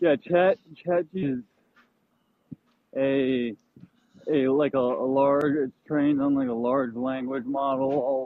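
Long, frequent pauses break up a man's very slow speech, his pitch fairly high and his intonation fairly even. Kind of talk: casual chat. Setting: outdoors.

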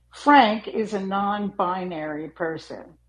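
A woman's very slow speech with lively intonation. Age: 80s+. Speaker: discussion club host. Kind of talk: live group discussion. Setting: live audio room.

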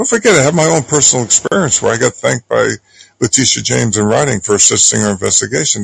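The recording of this man has a dry, close sound with no echo. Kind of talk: heated discussion. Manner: halting, repeats words.

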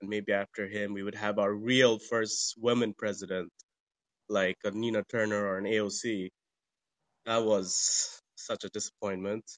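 Against a quiet background, a man with a fairly low pitch speaks at a fairly slow pace in monotone, flat intonation, the sound dry and close with no echo. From Bangladesh. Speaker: caller. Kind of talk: call-in question.

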